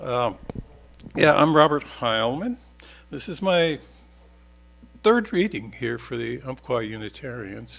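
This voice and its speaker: A man at medium pitch talks at a fairly slow pace with vocal fry, lively intonation and big swings in loudness. He leaves long, frequent pauses. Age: 70s. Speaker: author and newspaper columnist. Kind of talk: casual spoken introduction; reading aloud of own essays at a church service. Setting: church service. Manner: halting, many fillers.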